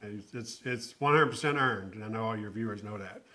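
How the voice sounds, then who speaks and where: Speaking at a fairly quick pace with a Southern US accent, a man has a bright, sharp tone and ordinary pitch variation. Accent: Southern US, held on to. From South Carolina (Aiken). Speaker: nonprofit executive. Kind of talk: podcast interview.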